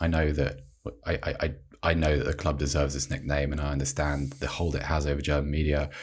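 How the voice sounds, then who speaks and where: Very deep and low, a man's voice rushes along at a very fast pace in a monotone, flat intonation, with noticeable background noise. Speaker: sportswriter. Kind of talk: casual chat.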